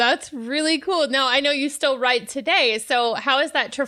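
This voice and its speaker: A woman speaks in a bright, sharp tone. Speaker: podcast host. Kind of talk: interview conversation.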